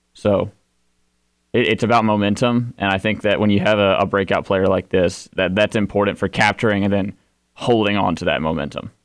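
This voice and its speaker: Against a quiet background, a man with a normal speaking voice talks at a fairly quick pace, his fairly low pitch held in fairly even intonation. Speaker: sports radio co-host. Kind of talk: casual sports talk show chat.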